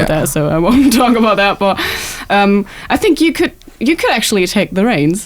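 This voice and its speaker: A woman's medium-pitched voice at a moderate pace, very even in loudness yet with very wide pitch swings, over noticeable background noise. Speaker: radio interviewer. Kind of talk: interview questions.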